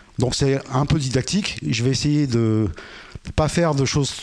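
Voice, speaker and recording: Noticeable background noise sits behind a voice whose pitch varies in an ordinary way. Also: man. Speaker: conference speaker on radio technology. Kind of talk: lecture. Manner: fast.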